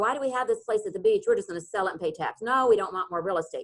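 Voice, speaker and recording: The woman's pitch varies in an ordinary way as she speaks. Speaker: real estate attorney presenting a seminar. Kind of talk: webinar presentation. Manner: fast.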